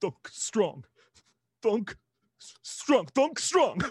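A put-on character voice is delivered at a fairly high pitch. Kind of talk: simple, broken speech. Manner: mumbling.

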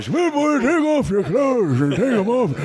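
A man uses a put-on character voice at an extremely high pitch and a moderate pace. Noticeable background noise runs underneath. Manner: gruff, crazy, demanding.

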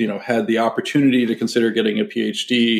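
Speaking at a fairly quick pace, a man talks with a General American accent. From US West Coast, San Francisco Bay Area. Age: 50s. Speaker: fund manager. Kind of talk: interview.

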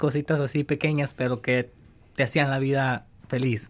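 Moderate speed and a normal speaking voice from a man. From El Salvador. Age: 20s. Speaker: former high school soccer player, immigrant. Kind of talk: interview testimony.

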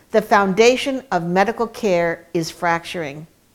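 A woman's unremarkable speaking voice, with ordinary pitch variation and a fairly slow pace. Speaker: announcer introducing speaker. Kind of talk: scripted introduction.

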